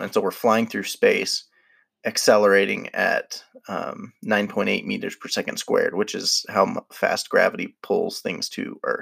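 A man puts on a raspy character voice and delivers his lines fairly slowly. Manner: explanatory.

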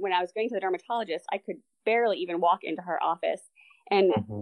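This woman has an unremarkable speaking voice, medium in pitch, with ordinary pitch variation. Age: 40s. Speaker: amateur triathlete. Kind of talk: interview.

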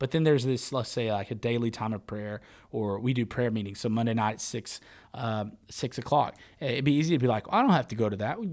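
Heard in a very clean recording with a silent background, a man uses an ordinary speaking voice at medium pitch, moving at a fairly quick pace with ordinary pitch variation. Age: 20s. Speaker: youth ministry podcast host. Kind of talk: casual chat.

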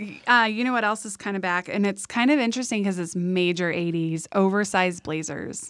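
A woman with an American accent talks fairly quickly with hardly any pauses, in an ordinary speaking voice. Her pitch is medium with ordinary pitch variation, on a very clean recording with a silent background. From San Diego, California. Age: 30s. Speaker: fashion stylist. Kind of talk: casual interview chat.

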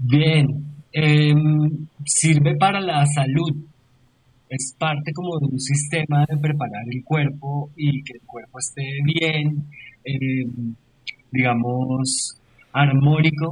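A man with a fairly high pitch sounds somewhat breathy, his loudness swinging widely. He talks very slowly, with long, frequent pauses. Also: fairly even intonation. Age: 40s. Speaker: yoga teacher and university lecturer. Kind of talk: casual chat.

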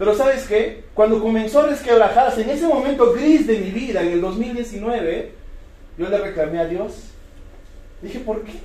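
Over noticeable background noise and audible room echo, a man with a high pitch talks at a moderate pace in an animated tone, with ordinary pitch variation and big swings in loudness. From Peru, Cusco. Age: 30s. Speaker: network marketing distributor. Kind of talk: motivational talk.

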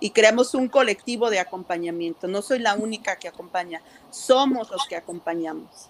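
A plain, everyday voice from a woman at medium pitch, moderate pace, lively intonation and big swings in loudness. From Mexico. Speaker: community health worker. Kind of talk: interview conversation. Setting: video call.

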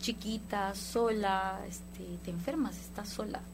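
Audible room echo follows a woman who talks at a fairly slow pace. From Guatemala. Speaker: band musician. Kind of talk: casual interview.

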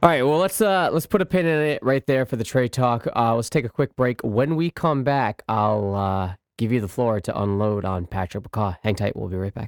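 With a normal speaking voice, a man at medium pitch uses lively intonation and a moderate pace with hardly any pauses, recorded very cleanly against a silent background in a dry, close sound with no echo. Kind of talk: casual sports talk. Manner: laughing, encouraging, conversational.

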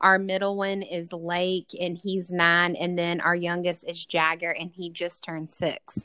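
A woman speaks with a Southern US accent. Her fairly low voice stays monotone and flat. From Mississippi. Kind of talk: casual interview chat.

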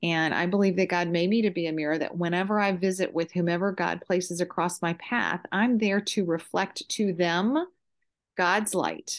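A woman with an unremarkable speaking voice talks at a fairly low pitch with fairly even intonation. Her loudness stays very even against a quiet background. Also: moderate pace. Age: 50s. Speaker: mother and realtor. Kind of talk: casual chat.

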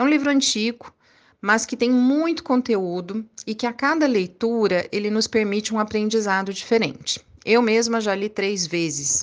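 In a normal speaking voice, a woman talks at a moderate pace with fairly high pitch and lively intonation. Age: 40s. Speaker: college professor and course coordinator. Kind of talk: interview.

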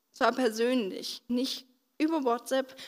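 A woman with a high voice talks at a fairly slow pace. The recording is very clean, with a silent background. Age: 20s. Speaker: stroke survivor, trainee physiotherapist. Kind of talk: testimony. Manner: halting, with many fillers.

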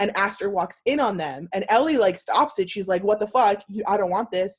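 Speaking at a moderate pace and a medium pitch, a woman has a plain, everyday voice. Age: 20s. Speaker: podcast co-host. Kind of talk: casual chat.

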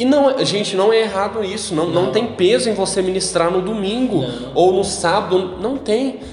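The voice has lively intonation and hardly any pauses, over noticeable background noise. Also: man, high pitch for a man, moderate pace. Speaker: podcast host. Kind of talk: casual chat. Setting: parents' house.

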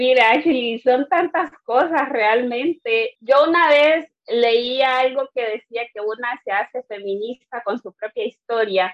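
A woman talks with a high pitch. Her pace is very slow. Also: ordinary pitch variation. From Caribbean coast of Honduras. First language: Garifuna (speaking Spanish). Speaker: activist. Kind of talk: interview.

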